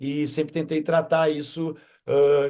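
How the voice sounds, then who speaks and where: This man talks at a fairly slow pace with a dark, mellow tone. His pitch is fairly high, and the background is quiet. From southern Brazil, Rio Grande do Sul (Esteio). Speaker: stand-up comedian. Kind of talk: interview. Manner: halting, many repetitions.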